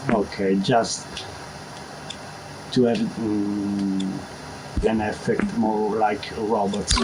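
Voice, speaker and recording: A man speaks at a very slow pace with long, frequent pauses and very even loudness, with audible room echo and noticeable background noise. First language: Italian. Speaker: video game tutorial maker. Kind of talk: tutorial. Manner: halting.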